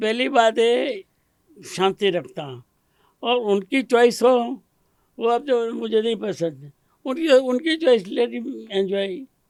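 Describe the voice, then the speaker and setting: An extremely high-pitched male voice with lively intonation. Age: 80s+. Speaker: retired superintending engineer. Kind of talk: interview answer.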